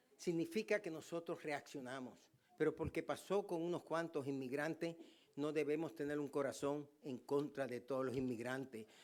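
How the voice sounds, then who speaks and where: A man's fairly high pitch with ordinary variation, at a moderate pace. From Puerto Rico. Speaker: pastor. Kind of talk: sermon.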